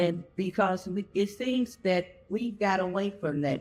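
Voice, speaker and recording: A man with an American accent speaks in a high pitch at a fairly slow pace. Music plays in the background. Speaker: senior center guest. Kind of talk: personal reminiscence. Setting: senior day center with audience. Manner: loud.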